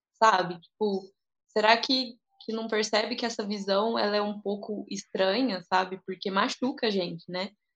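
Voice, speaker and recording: This is a plain, everyday voice belonging to a woman, pitched in the middle of her range. She keeps a moderate pace, and the intonation stays fairly even. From Brazil, interior of São Paulo state. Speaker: physical education professional and dance teacher. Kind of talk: casual discussion.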